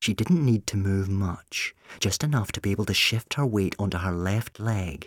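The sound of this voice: This unforced reading voice shows ordinary pitch variation from start to finish.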